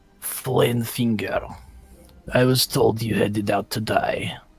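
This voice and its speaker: A put-on character voice, guttural and low-to-middle in pitch, moves at a fairly slow pace. Faint music sits in the background. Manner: menacing.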